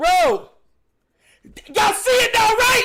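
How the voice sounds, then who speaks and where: A man speaks in a raised, projected voice with an American accent. His tone is bright and sharp, and his intonation is lively. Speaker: sports streamer. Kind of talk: live commentary. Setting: live stream. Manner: animated.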